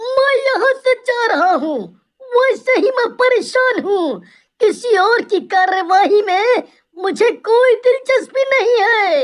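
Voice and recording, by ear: A woman uses a cartoonish character voice at an extremely high pitch, with lively intonation. She speaks at a fairly slow pace with very even loudness.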